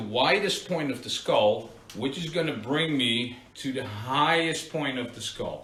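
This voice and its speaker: A man with a Dutch accent speaks at a fairly slow pace, with audible room echo and noticeable background noise. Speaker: barber. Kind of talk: live tutorial. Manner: casual, conversational.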